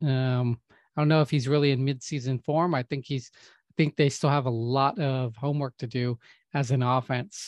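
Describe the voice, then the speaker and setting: With an unremarkable speaking voice, a man talks at medium pitch and a moderate pace, his intonation fairly even but his loudness swinging widely, in a dry, close sound with no echo and a quiet background. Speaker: podcast co-host. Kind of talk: casual chat.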